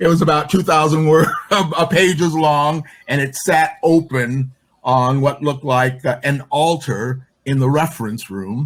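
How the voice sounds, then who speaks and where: A man with an American accent speaks at a fairly slow pace and fairly high pitch, somewhat breathy, with ordinary pitch variation. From Chicago. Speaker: LGBTQ and women's activist. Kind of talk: interview answer.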